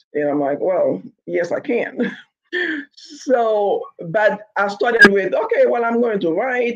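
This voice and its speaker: Speaking very slowly, a woman talks with a Haitian accent. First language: Haitian Creole. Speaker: novelist. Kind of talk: interview. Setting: podcast.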